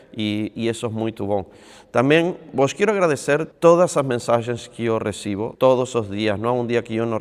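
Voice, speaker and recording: This man's voice sits at a medium pitch. He keeps a moderate pace with ordinary pitch variation. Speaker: padel coach and youtuber. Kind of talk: casual vlog talk to camera. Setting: on a padel court.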